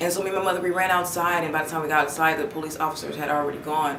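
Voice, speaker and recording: A woman speaks in a monotone, flat way. Noticeable background noise and audible room echo fill the recording. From West Oakland, California. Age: 20s. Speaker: law student. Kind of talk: interview testimony. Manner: hesitant with many fillers.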